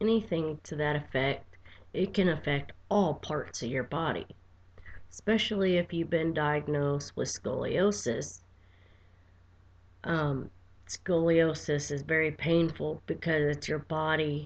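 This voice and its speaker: Soft-spoken and very deep in pitch, a woman speaks with ordinary pitch variation and long, frequent pauses against a quiet background. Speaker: vlogger with chronic pain. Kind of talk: personal video diary. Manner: quiet, soft-spoken.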